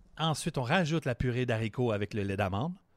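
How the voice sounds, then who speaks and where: On a very clean recording with a silent background and a dry, close sound with no echo, a man with an unremarkable speaking voice talks at a medium pitch and a fairly quick pace. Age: 40s. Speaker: sports podcast co-host. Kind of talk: casual chat; tutorial.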